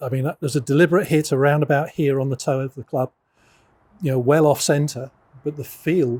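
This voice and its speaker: The voice is somewhat breathy with a dark, mellow tone and fairly even intonation at a fairly quick pace. The sound is dry and close with no echo. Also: man. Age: 60s. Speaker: golf coach. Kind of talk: casual chat. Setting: indoor golf fitting studio.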